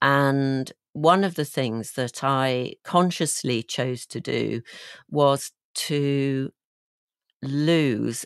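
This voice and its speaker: A woman with a slight Yorkshire accent speaks at a very slow pace, her pitch very deep and low. The sound is dry and close with no echo, over a quiet background. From West Yorkshire, England (near Halifax). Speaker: leadership coach and guest. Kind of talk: interview, personal life story.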